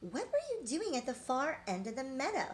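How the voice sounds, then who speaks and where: Over clear background noise, a woman performs a put-on character voice at a high pitch, moving at a moderate pace with very wide pitch swings. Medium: read story.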